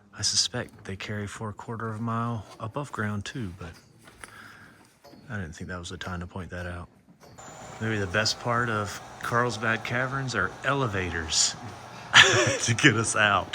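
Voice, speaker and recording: Speaking at a moderate pace with long, frequent pauses, a man with a fairly low pitch shows ordinary pitch variation and big swings in loudness amid noticeable background noise. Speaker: family travel vlogger. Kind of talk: casual vlog narration. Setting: outdoors by RV, then inside a cave.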